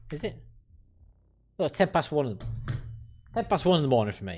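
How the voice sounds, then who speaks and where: A man speaks with a British accent. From United Kingdom. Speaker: gaming streamer. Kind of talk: casual chat. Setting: live stream. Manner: animated.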